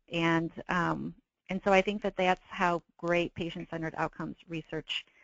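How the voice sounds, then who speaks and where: With an ordinary speaking voice, a woman talks at a moderate pace and a medium pitch. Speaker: patient advocate reviewer. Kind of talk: webinar presentation.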